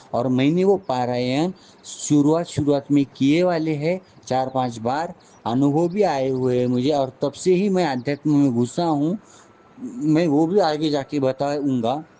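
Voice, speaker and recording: There is noticeable background noise as a man talks at very even loudness, his fairly high pitch showing ordinary variation. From Maharashtra, India. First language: Marathi (speaking Hindi). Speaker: spiritual teacher. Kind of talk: spiritual talk with personal storytelling. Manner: halting, with frequent restarts.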